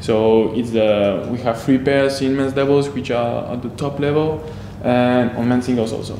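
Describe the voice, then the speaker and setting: A man speaks at a moderate pace with fairly even intonation, his voice carrying audible room echo over noticeable background noise. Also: medium pitch for a man. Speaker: professional badminton player. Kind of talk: interview. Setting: tournament venue above the courts. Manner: halting.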